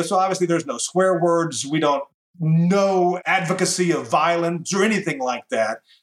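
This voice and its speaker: With a Southern US accent, this man talks at a fairly slow pace in a high pitch, his pitch varying in an ordinary way. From US South, Tennessee. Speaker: radio host. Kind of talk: interview.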